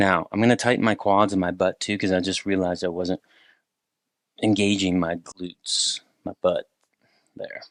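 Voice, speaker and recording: Over a quiet background, a man with a fairly low pitch talks at a moderate pace in a flat monotone, leaving long, frequent pauses, and the sound is dry and close with no echo. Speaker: movement instructor. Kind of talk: tutorial.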